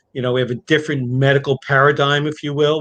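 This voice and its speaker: This man's voice sits fairly high in pitch, and his intonation stays fairly even. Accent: American. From New York. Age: 60s. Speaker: family medicine doctor. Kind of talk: interview. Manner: halting.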